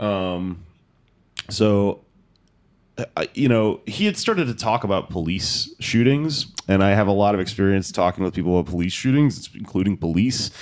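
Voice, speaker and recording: A man with an American accent and a plain, everyday voice, fairly low in pitch with ordinary variation, at a moderate pace, in a very clean recording against a silent background. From Texas, Houston. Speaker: stand-up comedian and podcast host. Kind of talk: casual chat.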